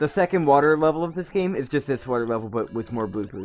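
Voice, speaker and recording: Music plays behind a man with a medium-pitched voice. His intonation is lively. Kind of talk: casual gameplay stream commentary. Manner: unenthusiastic.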